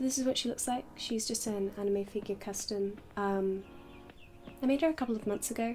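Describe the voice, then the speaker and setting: Soft-spoken and somewhat breathy, a woman talks at a fairly quick pace in a fairly high voice with a dark, mellow tone. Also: ordinary pitch variation. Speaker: doll maker YouTuber. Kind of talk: casual chat. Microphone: poor audio quality.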